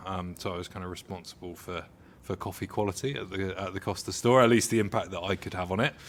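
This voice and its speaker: With a southern English accent, a man talks at a very fast pace in a very deep, low pitch and fairly even intonation. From southern England, Hampshire-Surrey border. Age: around 30. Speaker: coffee industry professional. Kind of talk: casual interview. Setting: on location at a coffee roastery.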